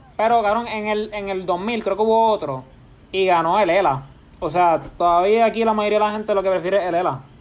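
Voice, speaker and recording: This man talks at a fairly quick pace in a Puerto Rican accent. His pitch is high, with ordinary variation. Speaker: podcast host. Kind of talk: casual chat.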